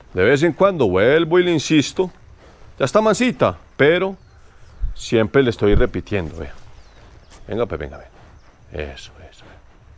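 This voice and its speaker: A man speaks at a moderate pace with very wide pitch swings and vocal fry. Long, frequent pauses break up his speech. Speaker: horse trainer. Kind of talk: outdoor training tutorial. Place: farm machine.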